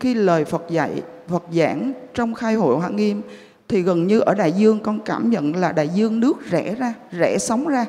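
Noticeable background noise sits behind a woman of medium pitch who speaks at a moderate pace with lively intonation. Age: 50s. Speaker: Buddhist lay practitioner. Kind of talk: testimony.

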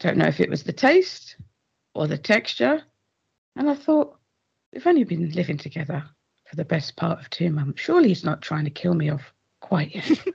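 With an English accent, a woman talks at a moderate pace, taking long, frequent pauses and showing big swings in loudness. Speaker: host's sister, story contributor. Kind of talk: reading aloud. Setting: pre-recorded voice note. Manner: storyteller-like, audiobook style.

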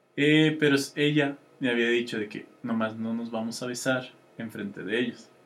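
Here is a man with a Mexican accent. He keeps a moderate pace. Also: medium pitch for a man, fairly even intonation. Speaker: podcast co-host. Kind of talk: casual chat.

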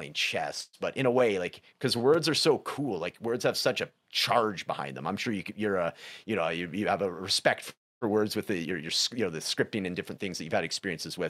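Recorded very cleanly against a silent background, a man with a western Canadian accent speaks at a fairly quick pace in a fairly low pitch with lively intonation. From western Canada, Prince George, British Columbia. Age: 40s. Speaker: recovery and life coach. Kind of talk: casual interview conversation.

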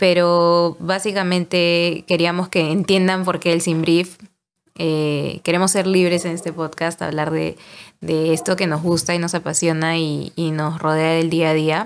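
In a fairly low pitch, a woman speaks at a fairly slow pace with monotone, flat intonation. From Peru, Lima. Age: 20s. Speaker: podcast host, marketing agency worker. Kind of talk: casual chat.

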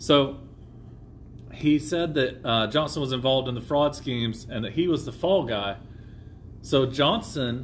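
Somewhat breathy and fairly high in pitch, a man's voice comes through. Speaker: podcast host. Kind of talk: casual chat. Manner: casual, joking.

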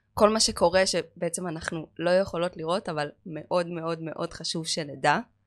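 In a very clean recording with a silent background, a woman with a plain, everyday voice and a fairly low pitch talks at a moderate pace. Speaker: manicurist and chemistry lecturer. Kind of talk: casual chat.

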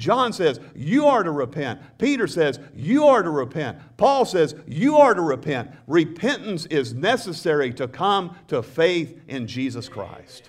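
With a Southern US accent, this man talks at a fairly slow pace with hardly any pauses, using a warm tone, fairly high pitch and very wide pitch swings. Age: 60s. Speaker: pastor. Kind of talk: sermon. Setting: church with congregation. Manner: earnest, preacherly, prompting congregation call-and-response; conversational, warm, with humor.

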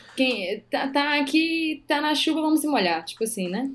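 Amid noticeable background noise, a woman with a high voice speaks at a fairly slow pace with lively intonation. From Brazil, Maranhão (Northeast), interior. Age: 30s. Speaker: physician. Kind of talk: casual interview chat.

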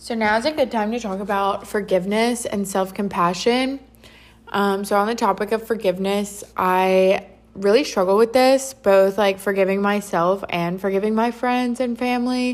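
A woman speaks in an ordinary speaking voice at medium pitch, with a moderate pace and fairly even intonation. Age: 20s. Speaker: podcast host. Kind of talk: solo monologue. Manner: casual, filler-heavy.

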